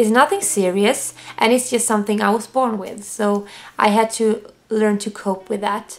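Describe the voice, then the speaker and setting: A woman speaks in a Swedish accent at a fairly high pitch. Her intonation is monotone and flat. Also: moderate pace. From Sweden. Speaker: vlogger. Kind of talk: personal testimony to camera. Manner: halting.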